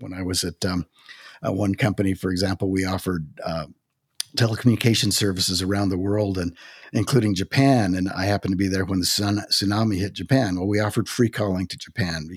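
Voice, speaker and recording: Very deep and low, a man's voice runs at a very fast pace with fairly even intonation on a very clean recording with a silent background. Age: 60s. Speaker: author and former corporate executive. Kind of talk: interview conversation about faith and work.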